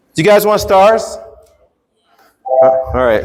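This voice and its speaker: In a room with audible echo, a man speaks at a fairly slow pace with lively intonation. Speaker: workshop presenter, teacher. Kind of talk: workshop presentation. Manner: teacher voice, projected.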